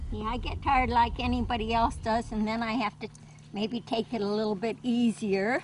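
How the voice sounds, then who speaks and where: A woman's moderate-paced delivery carries a monotone, flat intonation. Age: 80s+. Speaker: desert gardener. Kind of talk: documentary interview answer.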